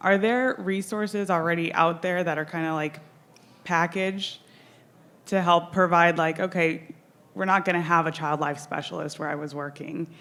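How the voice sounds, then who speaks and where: The shaky voice keeps a moderate pace and fairly even intonation. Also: woman. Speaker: audience member asking question, surgeon. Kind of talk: conference Q&A question.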